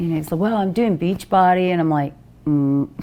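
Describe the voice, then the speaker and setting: A woman's dark, mellow tone at medium pitch, ordinary pitch variation and a moderate pace. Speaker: fitness expert. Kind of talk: casual interview.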